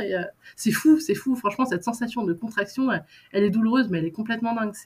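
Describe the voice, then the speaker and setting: Lively intonation from a woman, pitched fairly high. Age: 20s. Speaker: mother sharing birth story. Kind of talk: testimony. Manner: halting.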